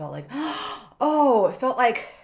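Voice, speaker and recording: Noticeable background noise surrounds a woman who speaks fairly quickly. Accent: Korean. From South Korea, Busan. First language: Korean. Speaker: actor, writer and stand-up comedian. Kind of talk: casual podcast interview. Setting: studio room.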